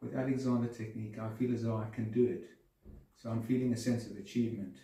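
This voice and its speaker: Talking at a very fast pace, a man with a dark, mellow, somewhat breathy tone keeps his intonation fairly even amid audible room echo. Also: medium pitch for a man. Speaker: person with Parkinson's disease, Alexander Technique student. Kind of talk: interview testimony. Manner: halting, repeats words; calm.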